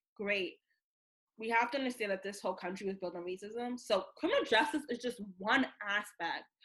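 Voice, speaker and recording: With an American accent, a woman in a normal speaking voice talks at a moderate pace, fairly high in pitch, with ordinary pitch variation. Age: 20s. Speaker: founder of a sobriety community. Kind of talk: personal testimony in interview.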